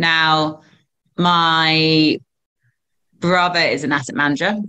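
A woman speaks in a southern English accent. Her pitch is very deep and low, and her intonation is fairly even. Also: quiet background. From England. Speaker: recruitment firm co-founder. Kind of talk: interview. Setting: video call. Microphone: video call.

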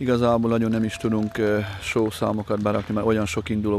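A man with a fairly low pitch, the sound dry with no echo, over light background noise. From Hungary. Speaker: equestrian event organizer. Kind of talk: interview statement. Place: open country. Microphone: handheld.

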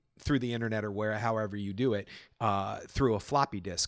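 A man talks with ordinary pitch variation. The sound is dry with no echo, over a quiet background. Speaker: actor; podcast host. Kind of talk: casual podcast talk. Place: home room.

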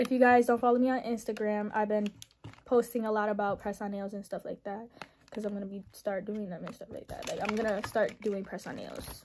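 Over light background noise, a woman talks at a fairly quick pace with monotone, flat intonation. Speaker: nail artist vlogger. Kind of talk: casual haul vlog chat. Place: home room. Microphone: phone near.

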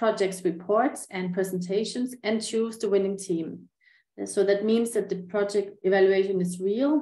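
Her tone is dark and mellow, with ordinary pitch variation. The woman keeps a moderate pace, and room echo is audible. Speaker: conference presenter. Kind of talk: presentation. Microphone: webcam.

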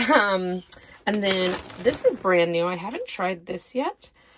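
Slow and lively in intonation, a woman's medium-pitched voice carries a fairly bright tone with a slightly husky edge.

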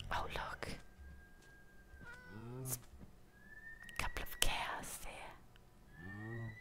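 A very slowly paced whisper from a woman. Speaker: ASMR YouTuber. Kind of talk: ASMR gameplay commentary. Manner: whispered. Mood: playful, amused, slightly unsure. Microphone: studio mic.

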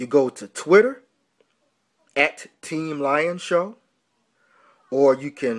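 A very slow man with ordinary pitch variation over a quiet background. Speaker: radio show host. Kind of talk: pitchman promo for a debate show. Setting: online radio show promo. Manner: punchy, repeating 'man', with a boxing-style trash-talk swagger. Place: home room. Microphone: phone near.

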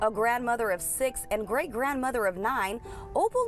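Music plays in the background. A woman talks at a moderate pace with fairly high pitch and ordinary pitch variation. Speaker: TV news reporter. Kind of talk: TV news package narration.

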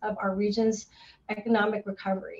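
With an American accent, a woman talks at a fairly quick pace. She has a fairly high pitch and a normal speaking voice. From US Pacific Northwest, Seattle. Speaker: parks and recreation director, moderator; moderator. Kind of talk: panel moderation.

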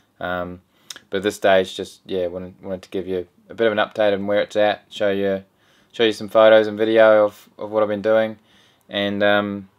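Over a quiet background, the speech moves at a moderate pace with ordinary pitch variation. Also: man. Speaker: boat builder vlogger. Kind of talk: casual vlog chat. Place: home room.

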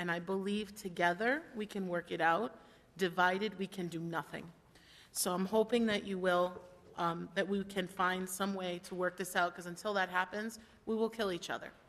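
A woman's ordinary speaking voice at medium pitch, moderate pace, and fairly even intonation. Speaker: town council member. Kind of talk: council meeting debate.

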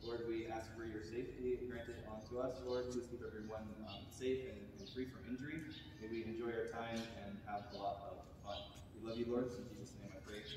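A man's voice with fairly even intonation, strong room echo and noticeable background noise. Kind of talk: instructions and group prayer. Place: hall. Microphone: camera far.

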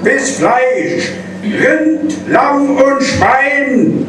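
Noticeable background noise and audible room echo surround a man as he talks. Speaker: carnival speaker. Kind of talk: carnival speech delivered in rhyme (Büttenrede). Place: hall.

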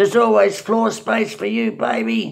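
Quiet background behind a man's voice. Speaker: storyteller recalling his youth. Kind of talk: casual storytelling monologue. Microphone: webcam.

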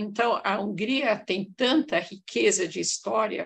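The speech moves at a very slow pace with vocal fry. Pitch variation is ordinary. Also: woman. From Hungarian-born, raised in Brazil. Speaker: audience member. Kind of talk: casual discussion. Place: home room. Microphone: webcam.

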